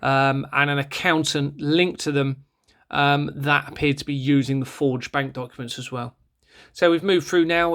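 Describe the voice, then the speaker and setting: A man with a southern English accent, fairly high in pitch, fairly quick and monotone with flat intonation, on a very clean recording with a silent background. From southern England, Bournemouth. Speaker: former police officer turned online campaigner. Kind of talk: screen-share video monologue. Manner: fast; hesitant with fillers.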